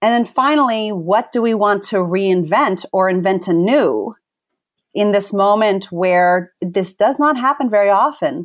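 A woman with an ordinary speaking voice talks at medium pitch and a fairly slow pace. Her intonation is lively while her loudness stays very even. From moved between countries, later US (Virginia). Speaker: facilitator and author. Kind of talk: interview conversation.

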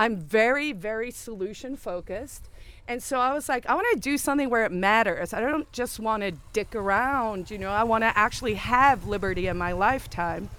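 A woman with a fairly high voice speaks at a fairly quick pace against noticeable background noise. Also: ordinary pitch variation. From South Africa. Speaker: libertarian movement organizer. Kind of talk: interview. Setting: outdoor festival.

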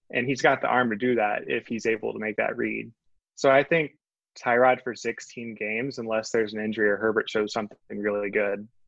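Using an ordinary speaking voice, a man with an American accent talks at a fairly quick pace and medium pitch, his intonation fairly even. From northwest Georgia, US South. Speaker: sports writer. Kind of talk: casual chat.

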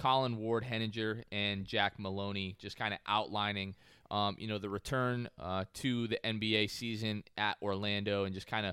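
In a very clean recording with a silent background and a dry, close sound with no echo, a man speaks at a medium pitch in an ordinary speaking voice. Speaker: podcast host. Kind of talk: casual chat.

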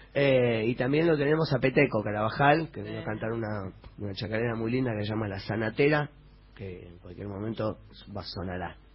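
A somewhat breathy man's voice at a fairly quick pace, with ordinary pitch variation. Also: medium pitch for a man, big swings in loudness. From Buenos Aires, Argentina. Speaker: rock musician. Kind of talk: radio interview.

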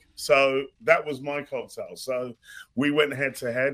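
Pitched fairly high, the man talks in a British accent. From London, born in Ghana. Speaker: mixologist and author. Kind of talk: casual chat.

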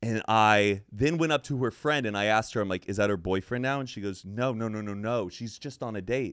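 In a very clean recording with a silent background, a man with an American accent and a fairly low pitch uses a plain, everyday voice at a fairly quick pace with lively intonation. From Texas. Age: 30s. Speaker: podcaster. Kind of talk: casual chat.

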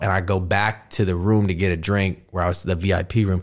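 An American accent comes through. The background is silent and the recording very clean. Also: man. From Texas. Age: 30s. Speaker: podcaster. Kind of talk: casual chat. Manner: animated.

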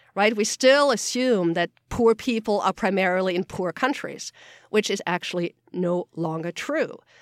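Speaking with a German accent, a woman of medium pitch uses lively intonation at a moderate pace, and the sound is dry and close with no echo. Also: very clean recording, silent background. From Austria. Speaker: geographer and climate report author. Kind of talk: interview.

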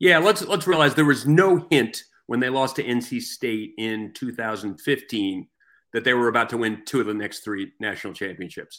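On a very clean recording with a silent background, a man with an American accent and an unremarkable speaking voice talks at a moderate pace, using lively intonation at a medium pitch. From New York area. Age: 60s. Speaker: newspaper sports columnist. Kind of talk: casual interview.

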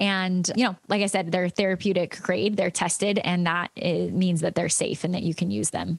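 A woman's medium-pitched voice with vocal fry and very even loudness. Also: ordinary pitch variation, moderate pace, hardly any pauses. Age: 30s. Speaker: yoga teacher and essential oils business leader. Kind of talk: interview.

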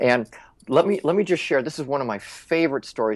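A man with an American accent at a very fast pace, very wide pitch swings, a dry, close sound with no echo and a quiet background. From Minnesota. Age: 50s. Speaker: LinkedIn expert. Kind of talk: interview.

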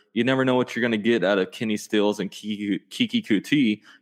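In a dry, close recording with a quiet background and no echo, a man speaks in an ordinary speaking voice at a medium pitch, fairly quick, with ordinary pitch variation. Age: 20s. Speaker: sports YouTuber. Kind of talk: casual chat.

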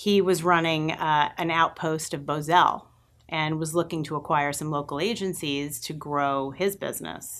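Against a quiet background, a woman with a Long Island accent speaks at a moderate pace with a very deep, low pitch and fairly even intonation. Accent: Long Island New York. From Long Island, New York. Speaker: agency president. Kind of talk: interview. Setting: live-streamed studio interview.

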